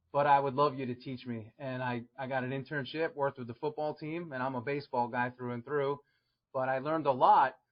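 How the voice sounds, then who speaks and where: The speaker talks fairly quickly in a New York accent. The intonation stays fairly even. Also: man, medium pitch for a man. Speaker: strength and conditioning coach. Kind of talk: podcast interview.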